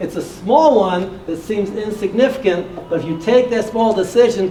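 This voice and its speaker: Talking at a fairly quick pace, a man with an American accent has a high pitch, and there is noticeable background noise. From US Midwest, Detroit. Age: 60s. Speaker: motivational speaker and real estate investor. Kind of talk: motivational talk.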